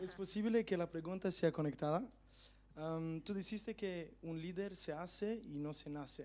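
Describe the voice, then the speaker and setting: This man's voice sits high, with ordinary pitch variation and a moderate pace. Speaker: audience member. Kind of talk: audience question.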